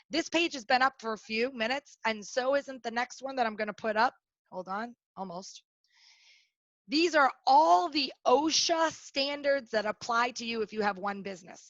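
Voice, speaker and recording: A loud woman speaks with a high pitch and lively intonation. The sound is dry and close with no echo. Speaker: workplace safety trainer. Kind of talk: webinar presentation. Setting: online webinar. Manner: fast.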